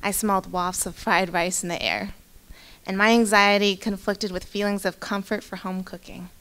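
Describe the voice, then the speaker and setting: A woman with a Pacific Northwest accent speaks at a moderate pace and medium pitch. Her bright, sharp voice stays monotone and flat. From Spokane, Eastern Washington. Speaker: county employee telling personal story. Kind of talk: personal storytelling read aloud.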